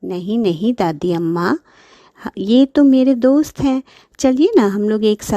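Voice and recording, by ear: The intonation moves in a lively way. It is reading aloud in a natural voice.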